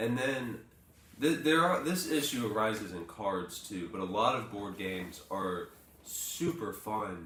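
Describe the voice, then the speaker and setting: The voice moves at a fairly slow pace with very wide pitch swings. Audible room echo and noticeable background noise are present. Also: man, fairly low pitch for a man. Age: 20s. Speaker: morning show co-host. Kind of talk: casual chat.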